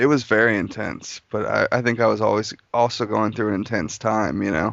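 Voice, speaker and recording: This speaker has an American accent and moves at a fairly quick pace. The voice shows vocal fry and ordinary pitch variation. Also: man, fairly low pitch for a man. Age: 20s. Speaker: interview guest. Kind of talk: casual interview conversation.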